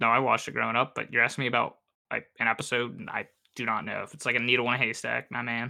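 A man at medium pitch talks very fast in a bright, sharp tone with vocal fry, a flat monotone and big swings in loudness. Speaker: podcast host. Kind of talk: casual chat.

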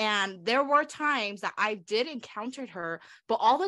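A woman with an American accent talks at a moderate pace, her tone bright and sharp. Her intonation is lively against a quiet background. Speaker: podcast co-host. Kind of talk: casual chat.

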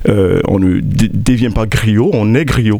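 Noticeable background noise runs through the clip. A man talks in a medium pitch. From Ivory Coast (Abidjan), Burkinabe parents. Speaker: festival organizer. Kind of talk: interview. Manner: halting, many fillers.

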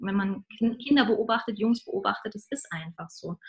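Somewhat breathy, a woman talks at a fairly high pitch. Her intonation is lively and her pace moderate. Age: 30s. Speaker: singer and spiritual songwriter. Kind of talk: interview.

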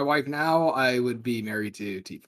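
A man with an unremarkable speaking voice, his pace moderate and his pitch variation ordinary. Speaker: podcast co-host. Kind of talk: casual chat.

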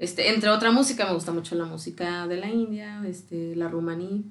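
Talking at a fairly quick pace, a woman with a normal speaking voice and medium pitch keeps her intonation fairly even. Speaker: actress. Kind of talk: casual chat.

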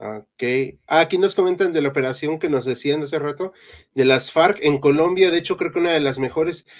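This man has an ordinary speaking voice, pitched fairly high with ordinary pitch variation. His pace is fairly quick. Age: 30s. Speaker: history podcast host. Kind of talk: live-stream chat.

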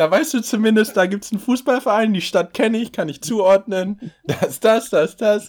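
Hardly pausing, a man speaks at a moderate pace and high pitch, with ordinary pitch variation and big swings in loudness. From Berlin, Germany. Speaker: podcast co-host. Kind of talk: casual chat.

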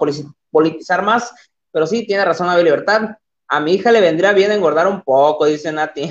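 Animated in tone, a man talks at a fairly quick pace. His pitch is high, with ordinary variation. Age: 20s. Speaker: livestream podcast host. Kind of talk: casual livestream chat. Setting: live stream at computer.

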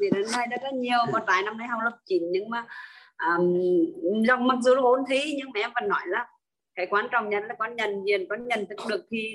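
A woman talking at a fairly quick pace. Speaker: online class participant. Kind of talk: personal testimony. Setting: video call. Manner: halting.

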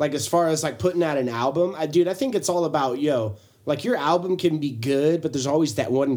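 A normal speaking voice runs at a fairly quick pace with hardly any pauses and ordinary pitch variation. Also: man. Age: 30s. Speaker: podcast co-host. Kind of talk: casual chat.

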